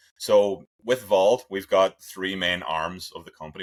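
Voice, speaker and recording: Intonation stays fairly even for this man. His voice is pitched very deep and low. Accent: Irish. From Ireland. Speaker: sports scientist. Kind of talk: interview. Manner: conversational, with hesitations.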